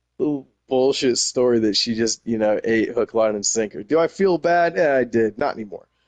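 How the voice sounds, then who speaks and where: A man with a slight Texas accent, lively intonation and a dry, close sound with no echo. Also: medium pitch for a man, moderate pace. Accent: slight Texas twang. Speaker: gaming community member. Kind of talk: casual interview. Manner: animated.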